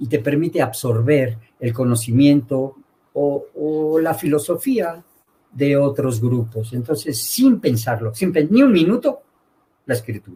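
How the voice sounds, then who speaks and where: Very slow, somewhat breathy man's voice, fairly high in pitch, with a dark, mellow tone and lively intonation. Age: 70s. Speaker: veterinarian and university lecturer. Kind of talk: interview.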